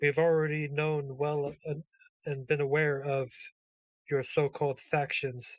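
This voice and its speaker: A put-on character voice moves at a fairly slow pace in a low-to-middle pitch. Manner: grand, solemn.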